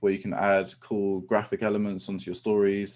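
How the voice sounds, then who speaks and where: A dark, mellow tone at a fairly quick pace against a quiet background. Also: man. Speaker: professional photographer. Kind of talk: webinar presentation. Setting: live online webinar. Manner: fast; many filler ums.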